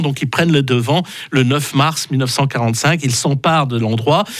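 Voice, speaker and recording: A man speaks at a fairly slow pace. His pitch sits fairly high. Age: 60s. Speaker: radio historian. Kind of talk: history segment on radio. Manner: halting with many fillers.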